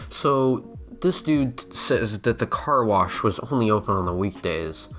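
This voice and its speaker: This man talks at a very slow pace while music plays in the background. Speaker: YouTube commentator. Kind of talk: casual commentary to camera.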